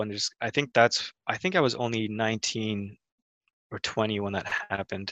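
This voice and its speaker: The speaker has a normal speaking voice with an American accent. The sound is dry and close, with no echo. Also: man. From Mexico, later Wisconsin and Canada. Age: 20s. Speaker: film director. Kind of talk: casual interview chat.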